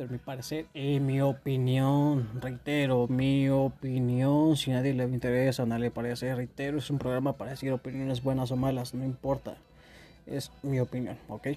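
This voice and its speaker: Speaking with a Mexican accent, a man uses a medium pitch and a dark, mellow tone. His delivery is monotone and flat at a moderate pace. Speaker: podcast host. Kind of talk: casual monologue. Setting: home bedroom. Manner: stuttering.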